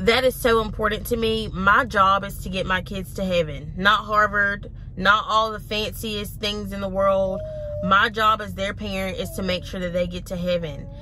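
At a moderate pace, a woman talks with fairly even intonation in a dry sound with no echo, though background noise is noticeable. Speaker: mom vlogger. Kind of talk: casual vlog chat. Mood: earnest, reflective. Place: car.

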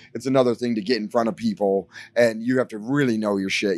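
Against a quiet background, a man with an American accent talks at a fairly quick pace and medium pitch, the sound dry with no echo. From US Midwest, Detroit; Michigan. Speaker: rock musician. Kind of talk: casual interview. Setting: backstage at a bar venue. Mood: relaxed, animated storytelling. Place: bar. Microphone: handheld.

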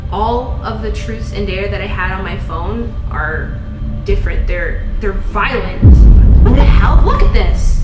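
Someone speaks at a fairly slow pace over music in the background. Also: woman. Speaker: channel host. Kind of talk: scripted skit vlog chat. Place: home room. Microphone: camera far.

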